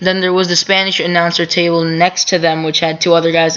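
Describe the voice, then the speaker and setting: A woman speaks at a fairly quick pace with a fairly low pitch and monotone, flat intonation. Noticeable background noise is present. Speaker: wrestling commentary vlogger. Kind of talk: casual recap monologue. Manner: halting, many fillers.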